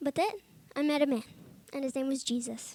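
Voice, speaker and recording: A woman talks loudly at a high pitch, her tone animated and her pace moderate. The sound is dry and close with no echo. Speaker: Bible college student giving testimony. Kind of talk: testimony. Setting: chapel service with audience.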